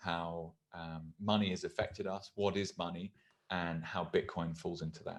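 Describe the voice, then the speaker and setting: A man with a British accent has a very deep, low pitch and fairly even intonation. The background is quiet. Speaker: podcast host. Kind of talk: show introduction; casual chat.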